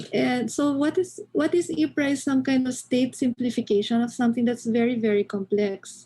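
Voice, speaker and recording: With a Filipino accent, a woman speaks at a moderate pace in a high pitch, her dark, mellow tone carrying lively intonation at very even loudness with hardly any pauses. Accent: Filipino English, Taglish code-switching. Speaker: anthropology lecturer. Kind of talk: lecture.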